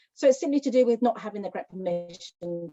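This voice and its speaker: Over music in the background, a woman talks with very wide swings in pitch. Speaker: liaison officer supporting loan shark victims. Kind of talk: presentation. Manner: fast.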